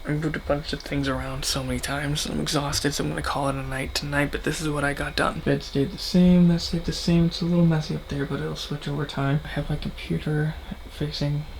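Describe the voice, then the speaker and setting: A quiet man with an American accent at a very fast pace, amid noticeable background noise. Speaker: vlogger. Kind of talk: casual vlog. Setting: at home, bedroom. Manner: casual, rambling; quiet, hushed.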